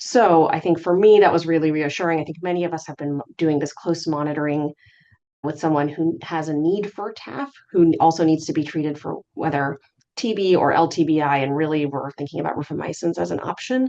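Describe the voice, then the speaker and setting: A woman talks at a fairly quick pace in a very deep, low voice. Her tone is dark and mellow, with ordinary pitch variation. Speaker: physician presenting HIV research update. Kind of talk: medical lecture. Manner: fast.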